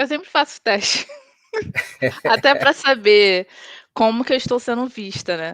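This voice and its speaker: A woman's fairly high voice at a fairly slow pace, lively in intonation, broken by long, frequent pauses. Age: 30s. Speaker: tech team leader. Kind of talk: casual interview chat.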